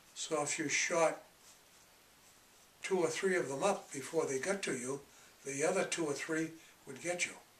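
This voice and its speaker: With an American accent, a man speaks at a moderate pace and a fairly high pitch, with fairly even intonation, long, frequent pauses and noticeable background noise. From Massachusetts, USA. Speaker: war veteran. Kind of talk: interview answer.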